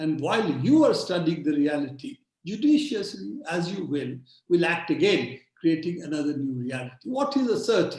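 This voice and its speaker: A man speaks fairly slowly in a high pitch. His pitch swings very widely. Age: 70s. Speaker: digital rights activist. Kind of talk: webinar talk.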